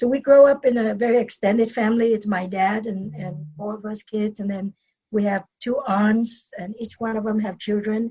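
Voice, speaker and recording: A woman with a Vietnamese accent speaks fairly high at a moderate pace, with fairly even intonation. Her voice is somewhat breathy, with a dark, mellow tone. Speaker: dentist and business coach. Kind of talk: podcast interview, personal story. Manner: hesitant with fillers and repetitions.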